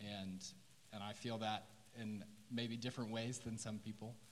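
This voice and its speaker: A man with an American accent speaks at a fairly low pitch. Room echo is audible, and there is noticeable background noise. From Oklahoma City. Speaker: first-year teacher. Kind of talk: testimony. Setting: church stage.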